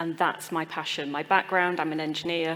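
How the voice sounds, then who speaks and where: A woman's fairly low, monotone voice with flat intonation, amid noticeable background noise. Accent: British. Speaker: engineer and climate consultant. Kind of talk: panel discussion.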